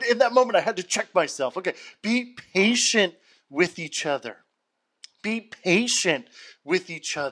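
An animated man's high voice, bright and sharp, with very wide pitch swings, a moderate pace and long, frequent pauses. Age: 30s. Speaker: podcast host leading Bible study. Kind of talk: impromptu Bible study.

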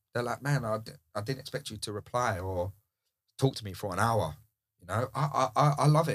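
In a very clean recording with a silent background, a man speaks at medium pitch, somewhat breathy, with lively intonation, big swings in loudness, and long, frequent pauses. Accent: British. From UK. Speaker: DJ and house music producer. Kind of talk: casual chat.

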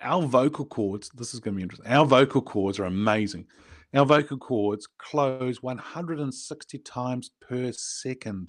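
A man with a New Zealand accent, medium pitch, ordinary pitch variation, big swings in loudness and a fairly slow pace against a quiet background. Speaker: business coach and podcast host. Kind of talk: casual interview. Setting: podcast recording.

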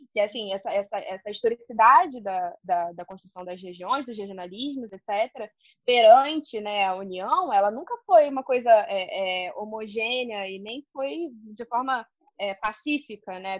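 With lively intonation, a woman speaks in big swings of loudness. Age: 30s. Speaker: history PhD student, teacher and podcast host. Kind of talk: casual academic discussion. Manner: halting, many fillers.

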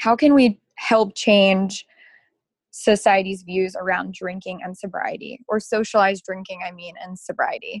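A woman with an American accent, medium in pitch and somewhat breathy, at a moderate pace with fairly even intonation, big swings in loudness, and a dry, close sound with no echo. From Baltimore, Maryland. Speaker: sobriety advocate. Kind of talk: casual interview chat.

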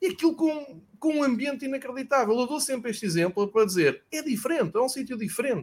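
At an extremely high pitch, a man talks very fast with lively intonation and hardly any pauses. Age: 40s. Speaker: football podcast host. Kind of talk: casual chat.

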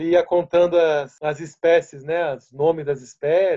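This man speaks at a fairly slow pace in a high voice with a dark, mellow tone. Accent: São Paulo. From Brazil, São Paulo city. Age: 40s. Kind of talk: casual interview.

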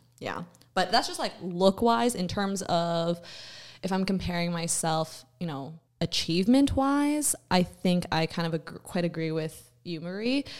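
A woman with a normal speaking voice talks fairly slowly, her pitch fairly low and her intonation lively, in a very clean recording against a silent background. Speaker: podcast host. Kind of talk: casual chat. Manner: chatty, upbeat, laughs often.

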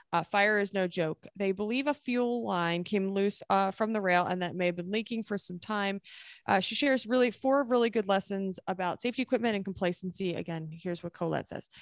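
A normal speaking voice, a woman at medium pitch, ordinary pitch variation, a fairly quick pace with hardly any pauses, very clean recording with a silent background and a dry, close sound with no echo. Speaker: podcast host. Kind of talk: casual chat.

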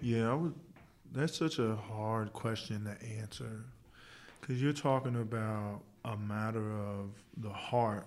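At a very slow pace, a man speaks in a medium pitch with ordinary pitch variation. Long, frequent pauses break up his speech. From Indianapolis, West Side. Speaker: church member. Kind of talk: panel discussion.

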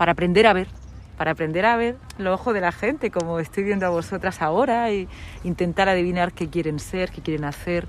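With a plain, everyday voice, a woman speaks at a fairly quick pace, her medium pitch showing ordinary pitch variation. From Murcia region, Spain (Lorca). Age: 40s. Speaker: radio presenter. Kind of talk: interview.

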